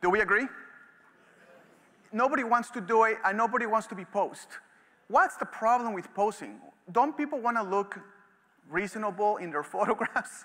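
Raising and projecting his high, bright, sharp voice, a man speaks in an animated tone with ordinary pitch variation and long, frequent pauses. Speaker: photography educator. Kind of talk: lecture. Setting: stage with audience. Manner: fast. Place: stage. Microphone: headset.

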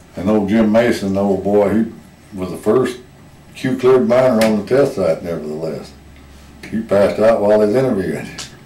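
A man with a rural Southwestern US accent speaks at a fairly low pitch with ordinary pitch variation. There is audible room echo and light background noise. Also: moderate pace. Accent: US Southwest rural. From Arizona. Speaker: retired miner and former rancher; interviewee. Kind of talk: oral history interview. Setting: museum. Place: hall. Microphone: camera far.

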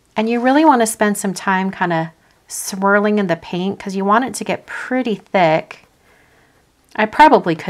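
A woman with a plain, everyday voice at medium pitch and a moderate pace. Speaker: crafting YouTuber. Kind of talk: live craft tutorial stream. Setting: livestream. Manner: casual, chatty.

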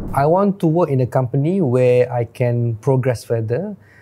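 Amid light background noise, a man speaks in a dark, mellow, somewhat breathy tone. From Malaysia. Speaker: careers show host. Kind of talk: solo tutorial video. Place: studio. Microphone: lapel.

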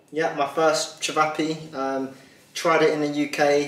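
A man talks with monotone, flat intonation. Room echo is audible around him. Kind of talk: casual vlog chat. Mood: relaxed, joking, laughing. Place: kitchen. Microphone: camera far.

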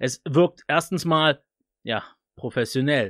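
The sound is dry, with no echo and a quiet background. A man speaks with ordinary pitch variation. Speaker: tech YouTuber reviewing microphones; tech reviewer. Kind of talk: product review. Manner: casual, loose. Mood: relaxed, cheerful. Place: studio. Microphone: studio mic.

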